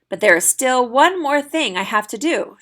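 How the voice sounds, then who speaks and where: A woman's put-on character voice, raspy and high-pitched, at a moderate pace. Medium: read story.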